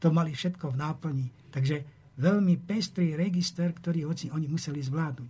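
At a moderate pace, a man speaks with fairly even intonation in a fairly high voice that has a dark, mellow tone. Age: 70s. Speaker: historian. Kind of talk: interview.

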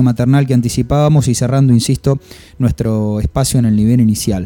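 A man's voice, dark and mellow in tone. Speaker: radio host. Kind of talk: radio monologue and interview. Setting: radio studio.

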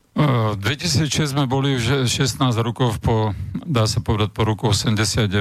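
An unremarkable speaking voice from a man, medium in pitch, at a fairly slow pace, with ordinary pitch variation and very even loudness. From Slovakia. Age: 60s. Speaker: former agriculture minister. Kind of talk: radio interview. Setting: studio.

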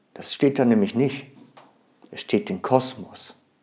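The delivery is very slow, with very wide pitch swings. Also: man. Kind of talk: sermon. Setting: church. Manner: earnest, expository, emphatic; careful, formal standard German.

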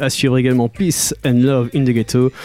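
At a very fast pace, the speaker's upbeat, warm tone comes through a dry, close sound with no echo, with music playing in the background. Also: man. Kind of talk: radio DJ patter, French-language reggae show intros and outros between tracks. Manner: upbeat, smooth, warm 'good vibration' tone with rapid-fire track rundowns; reverent, tribute-minded tone when announcing a deceased artist.

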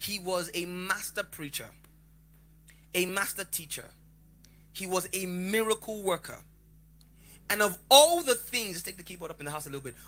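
A man's high, bright, sharp voice, raised and projected, with an animated tone and long, frequent pauses. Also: ordinary pitch variation, moderate pace, big swings in loudness. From Lagos, Nigeria. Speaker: preacher. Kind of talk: sermon. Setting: church with live congregation. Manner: animated, interactive.

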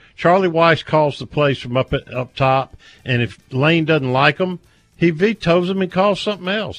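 Speaking in an unremarkable speaking voice, a man with a fairly high pitch talks at a moderate pace with lively intonation, the sound dry and close with no echo. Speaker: radio host. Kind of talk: radio sports talk show.

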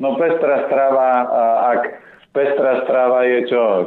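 The speaker is a man with monotone, flat intonation. He goes at a fairly slow pace. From Slovakia, Orava region. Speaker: nutrition and healthy eating advisor. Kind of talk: radio interview. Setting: phone call.

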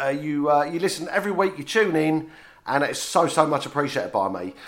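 A man with a fairly high pitch speaks in an animated, playful tone, his voice swinging very widely in pitch and dipping into vocal fry. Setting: radio studio.

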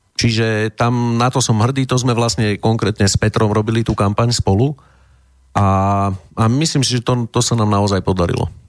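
A man with a plain, everyday voice speaks at a moderate pace and medium pitch, with fairly even intonation, very even loudness, and a dry, close sound with no echo. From Slovakia, Prievidza. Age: 40s. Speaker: politician and writer. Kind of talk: interview.

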